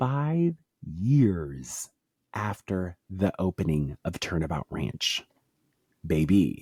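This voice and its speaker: A man's very deep, low voice with an American accent, very slow and full of long, frequent pauses and very wide pitch swings, in a dry, close, echo-free sound on a very clean recording with a silent background. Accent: southern twang, usually suppressed. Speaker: podcast co-host. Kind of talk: casual chat. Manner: animated.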